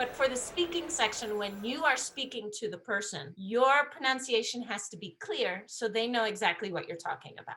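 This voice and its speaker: A woman's high voice with an American accent, lively intonation and a moderate pace. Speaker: English test prep teacher. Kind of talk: lecture.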